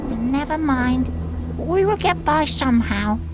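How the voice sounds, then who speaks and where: A female-sounding voice performs a put-on character voice against loud background noise. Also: fairly slow pace. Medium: video game. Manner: hesitant, stuttering.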